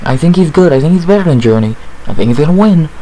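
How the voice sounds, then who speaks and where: Noticeable background noise runs through the clip. Over it, a man speaks with lively intonation. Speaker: MMA fight analyst YouTuber. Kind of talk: casual fight breakdown monologue. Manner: casual, conversational with fillers.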